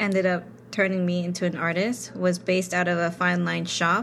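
This woman talks at a moderate pace with an American accent and a medium pitch. It is a plain, everyday voice. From New York City. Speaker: tattoo artist. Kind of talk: casual chat.

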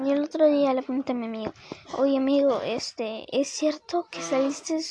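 Noticeable background noise sits under a woman's high-pitched voice, which moves at a fairly slow pace with ordinary pitch variation. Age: 20s. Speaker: podcaster. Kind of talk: casual monologue. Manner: rambling, halting.

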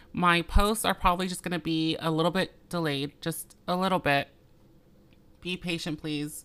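A woman's a normal speaking voice, fairly low in pitch, fairly even in intonation, at a moderate pace. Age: 30s. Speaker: podcast host. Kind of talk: casual monologue.

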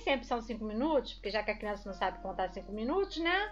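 With very wide pitch swings, a woman talks at a very fast pace against noticeable background noise. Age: 40s. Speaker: podcast co-host, mother. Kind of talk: casual chat.

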